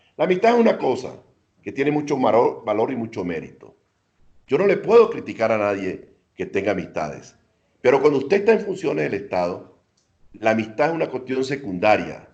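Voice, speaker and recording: With vocal fry, a man talks at a fairly quick pace and medium pitch, his pitch swinging very widely. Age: 70s. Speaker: former minister and ambassador. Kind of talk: interview.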